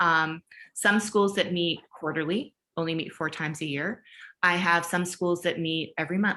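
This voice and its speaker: This woman has a fairly low pitch and a bright, sharp tone. Her pitch varies normally, and the background is quiet. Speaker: education leadership consultant. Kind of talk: webinar Q&A. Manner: fast.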